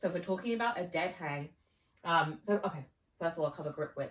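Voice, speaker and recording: A woman speaks in a somewhat breathy voice. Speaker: fitness coach. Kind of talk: tutorial. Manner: casual, with fillers.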